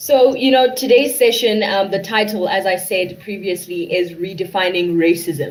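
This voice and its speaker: A woman's medium-pitched voice with lively intonation at a moderate pace, over noticeable background noise. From South Africa, Johannesburg. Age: 20s. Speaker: student moderator. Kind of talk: panel discussion moderation.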